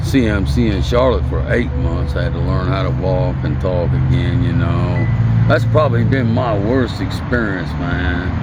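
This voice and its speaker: Noticeable background noise and audible room echo surround a man with an American accent, speaking at a moderate pace with hardly any pauses. His loudness stays very even while his pitch swings very widely. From US Midwest, Indiana (Hammond). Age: 60s. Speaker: homeless man. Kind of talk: interview.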